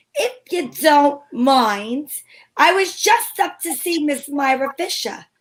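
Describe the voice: Using a put-on character voice, a woman speaks slowly at a high pitch, her tone fairly bright and her intonation lively.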